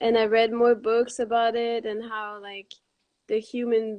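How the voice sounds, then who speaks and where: A fairly high-pitched woman with a Quebec accent at a moderate pace. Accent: French Canadian accent in English. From Quebec, Montreal. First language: Quebec French. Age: 20s. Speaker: raw vegan author. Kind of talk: interview.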